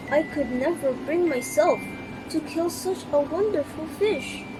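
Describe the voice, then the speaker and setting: A woman puts on a character voice and speaks fairly slowly over loud background noise. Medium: read story. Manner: timid.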